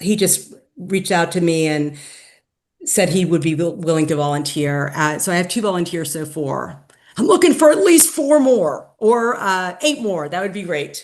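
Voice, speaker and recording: A woman uses an ordinary speaking voice, fairly low in pitch, at a moderate pace with lively intonation. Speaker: activist. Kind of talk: meeting presentation and discussion. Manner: casual, filler-heavy.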